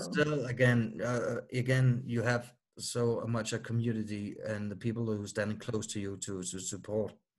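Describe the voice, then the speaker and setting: In a Danish accent, a man of medium pitch speaks at a moderate pace with fairly even intonation and hardly any pauses. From Denmark. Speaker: musician with myasthenia gravis. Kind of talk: interview.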